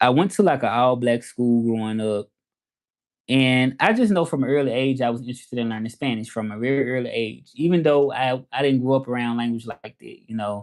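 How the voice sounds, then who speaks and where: A man talks at a fairly quick pace with a Southern accent. His pitch variation is ordinary. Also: medium pitch for a man. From US South, Memphis, Tennessee. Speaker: language teacher and Spanish interpreter. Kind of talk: casual livestream chat. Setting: livestream. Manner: casual, halting with fillers.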